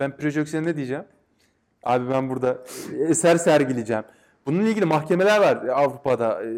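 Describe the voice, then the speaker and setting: A man with a fairly high pitch and ordinary pitch variation talks at a fairly quick pace, broken by long, frequent pauses. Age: 30s. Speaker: game designer and academic. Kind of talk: casual interview. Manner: hesitant, many fillers.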